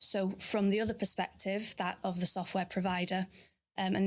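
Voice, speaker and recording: Fairly quick, monotone, flat speech in a Manchester accent on a very clean recording with a silent background. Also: woman. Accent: northern English (Manchester). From northern England, Bolton near Manchester. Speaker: sales manager. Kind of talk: interview. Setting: live recording at a consulate.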